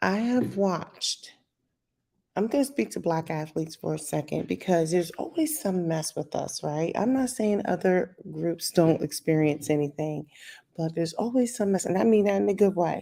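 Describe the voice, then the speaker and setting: Here a woman speaks with a fairly low pitch and a dark, mellow tone. Her intonation is lively, her pace moderate, and the recording very clean with a silent background. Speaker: YouTube commentator. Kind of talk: casual commentary vlog. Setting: at home, screen-share video. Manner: restrained volume, trying not to be loud.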